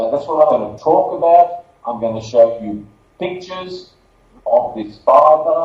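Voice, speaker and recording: A man with an Australian accent, high pitch, very wide pitch swings, big swings in loudness and a fairly slow pace. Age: 60s. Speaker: marketing director and former lawyer. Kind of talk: conference presentation.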